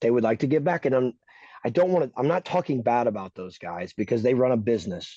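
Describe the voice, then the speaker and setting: In a dry, close recording with no echo and a quiet background, a man speaks in a dark, mellow tone with lively intonation. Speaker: racing podcast host. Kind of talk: opinionated casual chat. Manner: loud; animated, emphatic.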